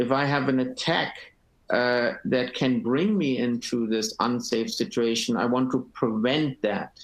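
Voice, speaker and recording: At a very slow pace, a man speaks with a German accent. His pitch is medium. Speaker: panelist. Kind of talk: webinar panel discussion. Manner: halting.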